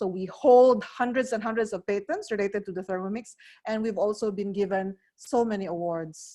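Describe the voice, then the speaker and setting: A woman with a Filipino accent speaks at a moderate pace in a medium pitch with ordinary pitch variation. Her tone is dark and mellow against a quiet background. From Philippines. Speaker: cooking appliance sales advisor. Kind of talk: product demonstration. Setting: online video presentation.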